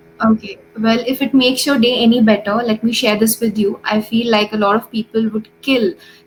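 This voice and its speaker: Over music in the background, a woman speaks at a moderate pace with a fairly high pitch and monotone, flat intonation. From India. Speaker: English tutor. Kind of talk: casual chat.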